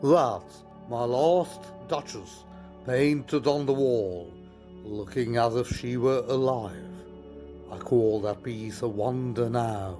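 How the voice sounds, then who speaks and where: A man's medium-pitched voice at a very slow pace, lively intonation, music in the background. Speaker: poetry reciter. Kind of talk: poetry reading.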